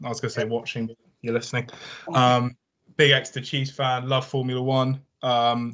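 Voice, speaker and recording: A man at a medium pitch and moderate pace, monotone with flat intonation and long, frequent pauses. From Somerset, England. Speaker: podcast co-host, university student. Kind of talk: casual chat.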